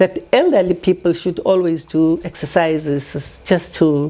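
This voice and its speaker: Noticeable background noise sits behind this recording. A woman speaks with a fairly low pitch and fairly even intonation. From South Africa, Pretoria area. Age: 80s+. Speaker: retired teacher and community organizer. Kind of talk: interview. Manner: hesitant, with fillers.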